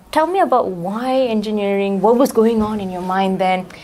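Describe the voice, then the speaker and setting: Fairly quickly, a woman gets her words out. Background noise is noticeable in the clip. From Malaysia. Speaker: student radio host. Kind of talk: interview.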